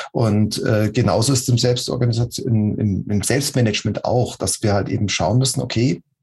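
A man talks at a moderate pace. His tone is dark and mellow, somewhat breathy. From Munich, Bavaria. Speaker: agile coach. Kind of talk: interview. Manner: halting.

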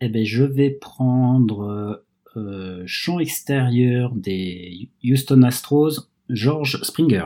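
At a very slow pace, a man speaks with a dark, mellow tone, medium pitch and ordinary pitch variation. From France. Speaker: baseball fan guest. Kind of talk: casual chat. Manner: halting.

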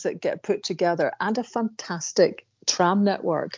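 This woman talks with a Scottish accent. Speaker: podcast co-host, columnist. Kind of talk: casual chat.

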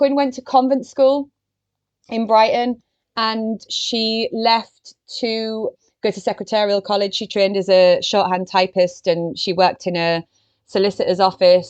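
This is a woman in a normal speaking voice, pitched fairly high. She talks at a fairly slow pace with ordinary pitch variation. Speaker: literary biographer. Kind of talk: casual interview.

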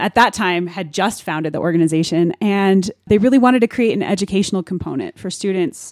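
A woman with a General American accent has an unremarkable speaking voice at a medium pitch, talking at a fairly quick pace in a dry, close sound with no echo on a very clean recording with a silent background. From Denver, Colorado. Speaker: jazz pianist and instructor. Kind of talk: radio interview.

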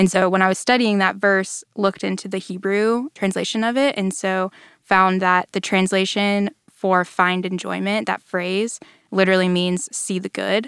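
In a very clean recording with a silent background, a woman of medium pitch speaks at a moderate pace in an American accent with fairly even intonation. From North Texas (Allen, near Dallas). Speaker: church staff member, communications team. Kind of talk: Bible study discussion. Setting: studio.

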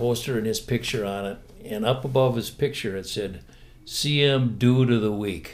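A man's voice at medium pitch, with ordinary pitch variation, a moderate pace and an ordinary speaking voice. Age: 60s. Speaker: retired teacher. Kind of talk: testimony.

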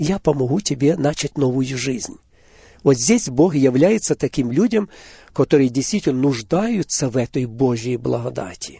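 Fairly high-pitched for a man, this voice has a dark, mellow tone and a somewhat breathy quality. He speaks fairly slowly with lively intonation, the sound dry and close with no echo. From Ukraine, Poltava region. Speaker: Baptist church minister. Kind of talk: religious radio interview. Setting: studio.

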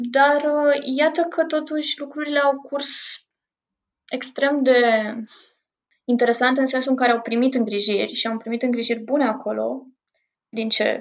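Pausing long and often, a woman speaks at a moderate pace in a high pitch with ordinary pitch variation. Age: 20s. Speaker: psychotherapist and painter. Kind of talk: interview.

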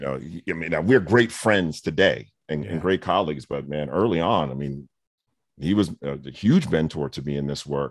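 This man's voice sits very deep and low, with vocal fry and big swings in loudness. His intonation is lively and his pace moderate. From New York (Brooklyn and Queens). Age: 50s. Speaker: education consultant and speaker, former principal. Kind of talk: interview.

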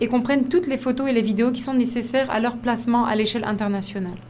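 The words come out at a very fast pace, their intonation fairly even. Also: woman. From Côte d'Ivoire. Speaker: fashion model and agency founder. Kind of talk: radio interview.

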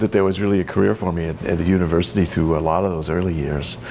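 There is noticeable background noise behind this man. He talks at a very fast pace. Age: 60s. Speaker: winemaker and retired enology instructor. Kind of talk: oral history interview. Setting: library.

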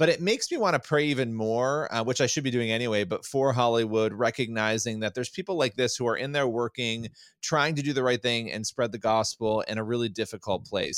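With a normal speaking voice, a man talks at a fairly quick pace with hardly any pauses and ordinary pitch variation in a very clean recording with a silent background. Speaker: podcast co-host. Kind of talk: casual chat.

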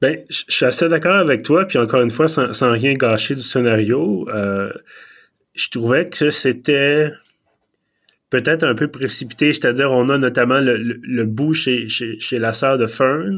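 A man in a normal speaking voice talks fairly slowly at a medium pitch, with ordinary pitch variation. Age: 30s. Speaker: podcast host. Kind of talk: casual chat. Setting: remote video call.

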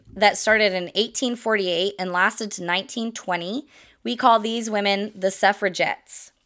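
An unremarkable speaking voice from a woman with an American accent, at a fairly slow pace, in a very clean recording with a silent background. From US Midwest. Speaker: podcast host. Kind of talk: solo educational podcast monologue. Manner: casual, with frequent fillers and laughs.

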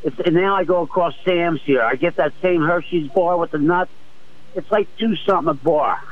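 Noticeable background noise surrounds a man speaking at a high pitch. His pace is moderate and his pitch variation ordinary. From Philadelphia. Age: 60s. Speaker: retired Navy veteran, caller. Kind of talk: call-in radio conversation.

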